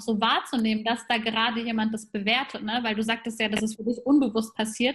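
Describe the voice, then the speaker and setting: Her pitch is fairly high, and her intonation stays fairly even. The woman talks at a very fast pace. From Germany, grew up between German and Persian culture. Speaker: podcast host. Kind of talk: casual interview chat.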